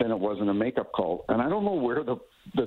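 A man with a Maritime Canadian accent. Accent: Canadian (Maritimes). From Canada, New Brunswick. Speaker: retired hockey referee. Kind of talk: radio interview.

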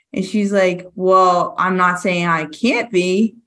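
In an American accent, a woman speaks at a medium pitch with a bright, sharp tone. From Massachusetts. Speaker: firefighter. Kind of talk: casual chat. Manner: loud.

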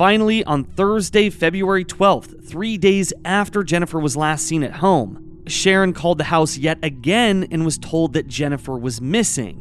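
With music playing behind him, a man talks at a moderate pace and a fairly high pitch for a man, his pitch varying in an ordinary way and hardly pausing at all. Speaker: true crime podcast co-host. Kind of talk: true-crime narration, telling the case facts then casual commentary.

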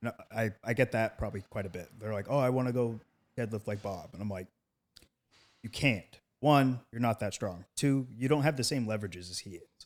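In an ordinary speaking voice, a man talks at a fairly quick pace and medium pitch with ordinary pitch variation, on a very clean recording with a silent background. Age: 30s. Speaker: powerlifter and state representative. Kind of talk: casual chat.

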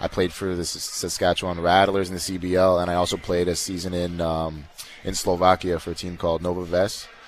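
The delivery is monotone and flat at a fairly quick pace. Noticeable background noise can be heard. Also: man, very deep, low pitch for a man. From Canada, Winnipeg. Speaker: professional basketball player. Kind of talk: interview. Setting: live event venue.

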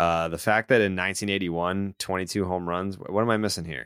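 A man talks at a very fast pace with ordinary pitch variation. His voice is very deep and low. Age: 30s. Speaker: sports podcast host. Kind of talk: casual chat. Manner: animated.

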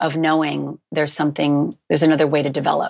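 A woman speaks very fast in a very deep, low voice with vocal fry. Her intonation stays fairly even. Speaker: life coach and hypnotherapist. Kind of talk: coaching advice in interview. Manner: calm, soothing.

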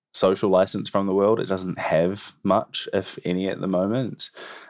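A New Zealand accent against a quiet background. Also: man. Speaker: environmental campaigner. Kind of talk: interview.

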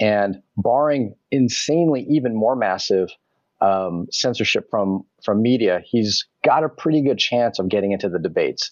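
A man with an ordinary speaking voice talks at medium pitch and a moderate pace, his intonation lively and his loudness very even. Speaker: crypto panelist. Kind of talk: panel discussion.

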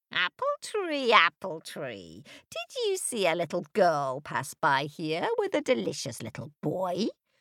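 In a put-on character voice, the speaker holds a middle pitch at a fairly slow pace. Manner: crooning, sweetly wheedling.

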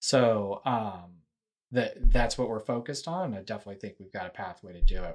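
With an American accent, a plain, everyday voice moves at a fairly quick pace with ordinary pitch variation. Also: man. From Texas (Houston). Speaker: nuclear energy company finance executive. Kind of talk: casual interview. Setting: video call.

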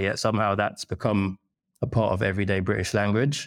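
A man's fairly low voice in a London accent, fairly quick in pace, on a very clean recording with a silent background. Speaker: food writer interviewer. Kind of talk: casual interview conversation.

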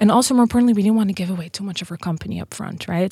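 With a Dutch accent, a woman speaks on a very clean recording with a silent background. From Netherlands. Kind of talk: interview. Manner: animated.

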